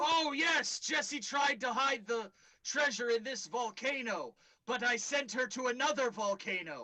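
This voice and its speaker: The speaker uses a put-on character voice in a theatrical tone at a moderate pace. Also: man, extremely high pitch for a man. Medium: actual play. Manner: theatrical, self-important.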